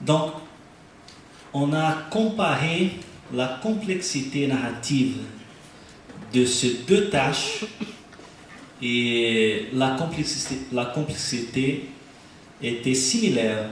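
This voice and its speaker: Over noticeable background noise and audible room echo, the speaker, with a non-native accent, talks very slowly with lively intonation and long, frequent pauses. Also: man, medium pitch for a man. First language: Portuguese (speaking French). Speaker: researcher presenting neuroimaging study. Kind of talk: conference lecture. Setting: stage with audience at congress. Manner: halting, hesitant.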